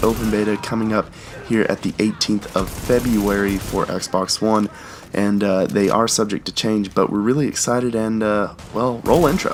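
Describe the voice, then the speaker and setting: Noticeable noise sits in the background while the speech moves at a moderate pace. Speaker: gaming YouTuber. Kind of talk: gaming commentary to camera.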